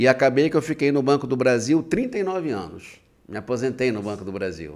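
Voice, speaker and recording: Medium male pitch and moderate pace from a man, captured in a very clean recording against a silent background. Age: 60s. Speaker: writer, retired bank employee. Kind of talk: podcast interview. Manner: halting, repetitive.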